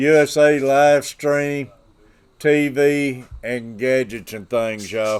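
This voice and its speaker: This man speaks at a very slow pace with a medium pitch. His intonation stays fairly even. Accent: Southern US. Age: 60s. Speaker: fishing livestreamer. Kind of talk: casual livestream chat. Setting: livestream.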